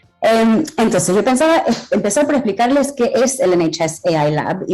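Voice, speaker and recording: Her intonation is lively as the woman talks. Noticeable background noise is present. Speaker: AI health policy expert speaking at a conference. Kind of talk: conference talk. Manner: halting.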